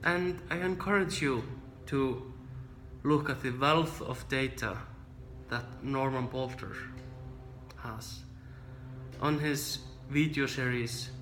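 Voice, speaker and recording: With a non-native accent, a man of medium pitch speaks at a very slow pace, with long, frequent pauses and ordinary pitch variation. Music plays in the background amid audible room echo. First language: not English. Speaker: trombone teacher. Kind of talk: tutorial.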